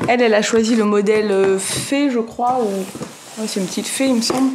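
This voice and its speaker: A woman at a fairly high pitch with fairly even intonation, amid noticeable background noise and audible room echo. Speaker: family vlogger. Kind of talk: casual vlog talk to camera. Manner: soft-spoken.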